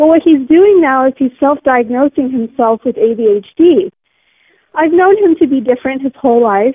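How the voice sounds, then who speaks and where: The intonation is lively. The pace is fairly slow. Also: woman. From California. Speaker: caller. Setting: phone call. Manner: excitable.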